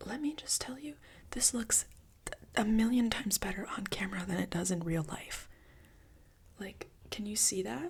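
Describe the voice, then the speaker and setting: Someone whispers with long, frequent pauses. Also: moderate pace. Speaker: ASMR creator. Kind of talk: ASMR whisper rambling. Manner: whispered; casual, rambling.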